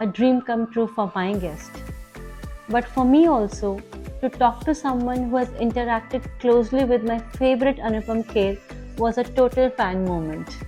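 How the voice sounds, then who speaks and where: Over music in the background, a woman talks at a moderate pace in a fairly high voice with ordinary pitch variation. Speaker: podcast host. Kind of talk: podcast intro.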